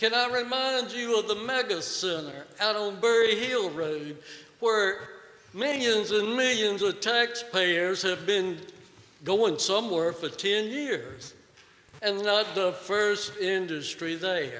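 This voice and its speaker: Over noticeable background noise, a man with a Virginia accent talks in a raised, projected voice at a very slow pace, his high pitch showing ordinary variation. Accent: Southern US (Virginia). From Virginia, Pittsylvania County. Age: 60s. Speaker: resident speaking at public hearing. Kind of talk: public comment at hearing. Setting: board meeting room. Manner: animated.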